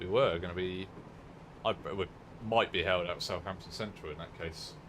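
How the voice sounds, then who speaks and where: A man in a West Country accent, very deep and low in pitch, at a moderate pace with fairly even intonation. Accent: southern English, West Country. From southern England, Dorset. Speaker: gaming streamer. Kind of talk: live gameplay commentary. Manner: casual, halting.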